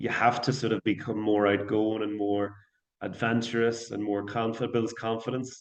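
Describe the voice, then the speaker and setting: A man with a Northern Irish accent speaks at medium pitch and a moderate pace. His intonation is monotone and flat, over a quiet background. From Northern Ireland, Portadown. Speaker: singer-songwriter and English teacher. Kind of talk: podcast interview.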